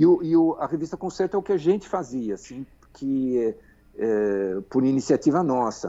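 This man's pitch is fairly high. It moves in very wide swings. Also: moderate pace. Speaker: magazine editor. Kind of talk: interview. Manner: halting, many fillers and repetitions.

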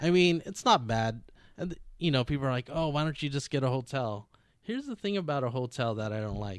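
An ordinary speaking voice, a man's at medium pitch, moves at a fairly quick pace with lively intonation. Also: very clean recording, silent background. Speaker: drifter and car builder guest. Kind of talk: casual interview chat.

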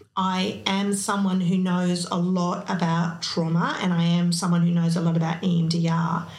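With an Australian accent, a woman speaks fairly slowly at a fairly low pitch, her intonation monotone and flat, her loudness very even, hardly any pauses, and audible room echo around her. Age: 50s. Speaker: psychotherapist and business owner. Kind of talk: interview.

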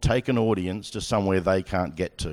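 On a very clean recording with a silent background, a man with an Australian accent talks at a moderate pace in a very deep, low pitch with ordinary pitch variation. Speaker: sports broadcasting executive. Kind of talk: onstage interview. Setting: stage with audience.

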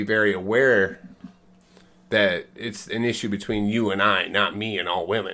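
At a moderate pace, a man speaks in an unremarkable speaking voice with fairly low pitch. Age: 40s. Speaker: host's husband. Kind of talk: casual chat. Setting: at home.

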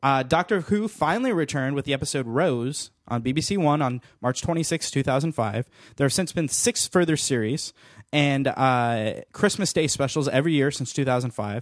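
Against a quiet background, a man with an unremarkable speaking voice talks at a moderate pace and fairly high pitch, with ordinary pitch variation and a dry, close sound with no echo. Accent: American. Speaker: podcast host. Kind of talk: casual chat.

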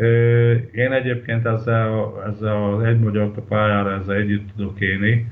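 A man speaks at a medium pitch, fairly slowly, with fairly even intonation. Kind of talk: interview. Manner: halting.

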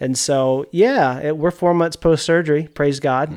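In a very clean recording with a silent background, a man speaks with an American accent. His pace is moderate and his intonation fairly even. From Mississippi, Yazoo County. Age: 40s. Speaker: media producer, hunter. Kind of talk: casual interview chat. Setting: garage.

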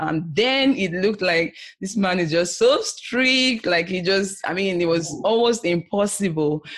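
Over noticeable background noise, a woman speaks at a fairly slow pace with hardly any pauses and lively intonation. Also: medium pitch for a woman. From Nigeria. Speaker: entrepreneur and IT business analyst. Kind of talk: interview. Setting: video call. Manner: animated.

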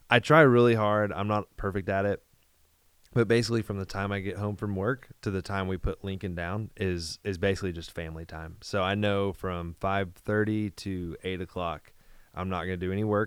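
In a very clean recording with a silent background, a man with a plain, everyday voice speaks at a moderate pace, with fairly low pitch and fairly even intonation. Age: 30s. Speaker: pastor. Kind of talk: casual chat.

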